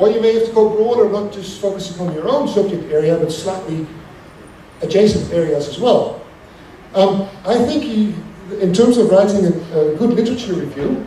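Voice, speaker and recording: A man with a Dutch accent and a high-pitched voice, talking at a fairly quick pace amid noticeable background noise and audible room echo. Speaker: academic lecturer. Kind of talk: lecture. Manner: hesitant with frequent fillers and restarts.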